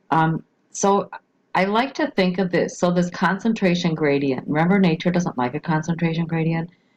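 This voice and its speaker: A woman speaks at a fairly low pitch with ordinary pitch variation. Her loudness stays very even. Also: moderate pace. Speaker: biology teacher. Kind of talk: recorded lecture. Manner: halting, many fillers.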